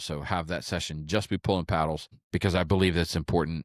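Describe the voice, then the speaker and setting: Heard in a very clean recording with a silent background and a dry, close sound with no echo, a man speaks at a fairly quick pace with a very deep, low pitch and ordinary pitch variation. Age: 40s. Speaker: triathlon coach and endurance athlete. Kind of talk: casual solo podcast training recap. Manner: conversational with frequent fillers and restarts.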